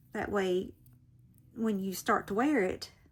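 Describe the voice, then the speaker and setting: A woman with an American accent talks very slowly. Her medium-pitched voice is somewhat breathy. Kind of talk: casual tutorial. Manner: chatty, rambling informal.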